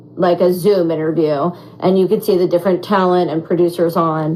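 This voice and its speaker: A woman with a fairly low pitch speaks in an animated tone against noticeable background noise. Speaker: reality show contestant. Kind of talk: casual chat. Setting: social media livestream.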